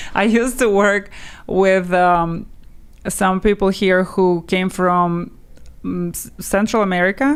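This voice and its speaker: A woman speaks very slowly with a Russian accent. Her pitch is medium, with ordinary variation. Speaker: language teacher. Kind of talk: interview.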